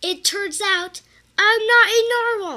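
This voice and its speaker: A woman's raised, projected put-on character voice, extremely high in pitch, at a fairly slow pace. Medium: read story.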